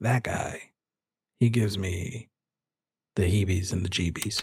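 A man puts on a raspy character voice at a fairly low pitch, speaking at a moderate pace. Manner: chirpy, friendly.

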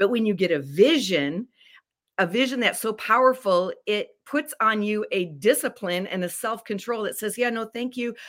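On a very clean recording with a silent background, a woman with a fairly high pitch and an unremarkable speaking voice talks at a moderate pace with lively intonation. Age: 60s. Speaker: life coach and author. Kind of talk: interview.

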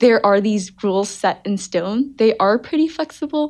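In a quiet background, a woman uses a normal speaking voice with a fairly high pitch, lively intonation and a moderate pace. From New Jersey, US. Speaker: undergraduate student. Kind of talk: casual interview.

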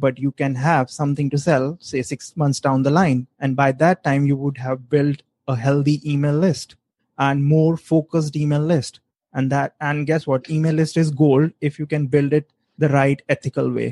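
A man's fairly high-pitched voice, calm and monotone with flat intonation, dark and mellow in tone, at a moderate pace, in a dry, close recording with no echo. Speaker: online business guest. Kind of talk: casual chat. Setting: Facebook live stream.

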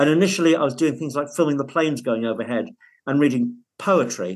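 With a northern English accent, a man talks in a fairly high, bright, sharp voice with lively intonation. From northern England. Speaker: divorced father. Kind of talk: interview.

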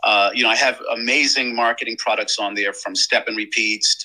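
Here is a man speaking. His pace is fairly quick. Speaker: print business owner. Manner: halting, filler-heavy.

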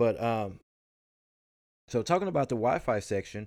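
On a very clean recording with a silent background, a man talks with a Southern US accent. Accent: country Southern US. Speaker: podcast host. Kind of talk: casual chat, tech podcast.

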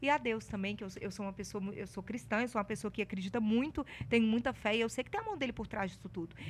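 Very fast and with lively intonation, a woman's fairly high voice shows vocal fry on a very clean recording with a silent background. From Minas Gerais, Brazil (Ouro Preto). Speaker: journalist and TV presenter. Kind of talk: casual interview chat. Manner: talkative.

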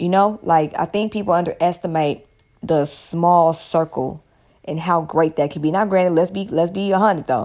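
A woman with an American accent, fairly low-pitched, animated in tone, at a moderate pace with ordinary pitch variation. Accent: Southern US, picking up California. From US South. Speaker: podcast host and aromatherapy seller. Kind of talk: casual monologue.

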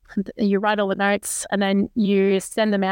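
In an Australian accent, a woman speaks at a moderate pace. The sound is dry and close, with no echo. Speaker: podcast co-host, aerospace engineer. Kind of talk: casual chat. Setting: remote call.

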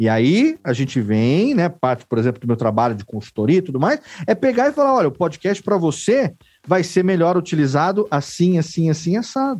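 At a fairly quick pace, a man with a high pitch speaks with very wide pitch swings. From interior of São Paulo state, Brazil. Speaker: podcast producer and consultant. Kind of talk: casual interview.

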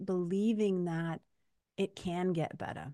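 A woman's dark, mellow tone at medium pitch, fairly slow pace and ordinary pitch variation, on a very clean recording with a silent background. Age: 50s. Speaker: podcast host and hypnotist. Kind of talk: casual interview chat. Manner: animated.

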